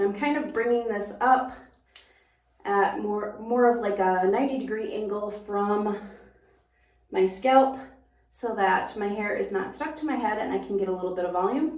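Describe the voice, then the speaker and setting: With an Upper Midwestern accent, a woman of medium pitch talks at a moderate pace with long, frequent pauses, and room echo is audible. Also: ordinary pitch variation. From US upper Midwest. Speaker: hairstylist and beauty YouTuber. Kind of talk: product review tutorial. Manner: casual, conversational.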